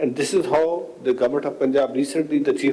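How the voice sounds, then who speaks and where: A man talks at a very fast pace amid noticeable background noise and audible room echo. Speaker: panelist, tourism official. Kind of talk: conference Q&A answer. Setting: conference panel with audience.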